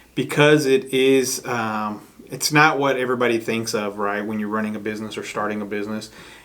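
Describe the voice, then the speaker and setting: With an American accent and a normal speaking voice, a man talks at a fairly quick pace, his medium pitch held in fairly even intonation. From Chicago. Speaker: podcast host, real estate agent. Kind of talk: casual interview chat.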